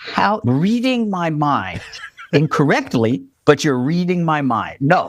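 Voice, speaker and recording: With an American accent, a man speaks at a fairly slow pace, his pitch swinging very widely. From New Jersey, Jersey City. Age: 60s. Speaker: Broadway drummer. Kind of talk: casual interview.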